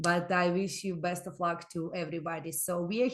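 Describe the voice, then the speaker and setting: A woman speaks in an ordinary speaking voice at a fairly low pitch. Her pace is moderate and her intonation fairly even. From immigrant to Canada. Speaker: microlending organization representative. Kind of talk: webinar presentation.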